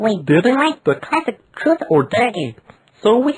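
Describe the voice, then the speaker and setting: A woman's put-on character voice at a moderate pace with very wide pitch swings. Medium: solo performance.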